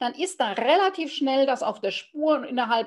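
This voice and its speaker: A woman speaks at a moderate pace. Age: 50s. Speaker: business mentor. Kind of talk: interview. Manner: halting.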